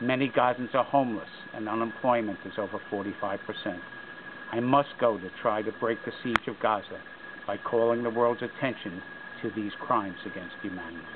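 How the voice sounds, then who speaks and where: A man's speech moves at a fairly quick pace, with noticeable background noise present throughout. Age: 60s. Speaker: peace activist. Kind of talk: personal statement to camera. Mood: earnest, serious. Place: open country.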